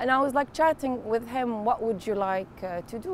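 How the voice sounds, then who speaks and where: A woman speaks with an Arabic accent. Her intonation is lively and her pace moderate. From Kuwait. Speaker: photojournalist. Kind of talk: interview.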